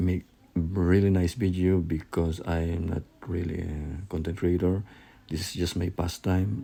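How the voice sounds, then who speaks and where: Speaking fairly slowly with a non-native accent, a man has a very deep, low pitch, a dark, mellow tone, a somewhat breathy sound and fairly even intonation. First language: not English. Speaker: hobbyist crypto miner YouTuber. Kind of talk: unboxing video. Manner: halting, self-correcting.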